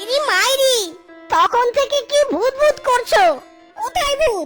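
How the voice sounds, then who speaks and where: A cartoonish character voice is heard with clear music in the background. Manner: exclamatory, whiny, uses folksy oaths.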